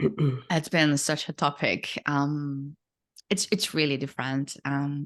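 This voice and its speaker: A woman with a French accent, very deep and low in pitch, at a very slow pace with fairly even intonation over a quiet background. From France. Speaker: copywriter. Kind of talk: casual chat. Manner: halting, many repeated words and fillers.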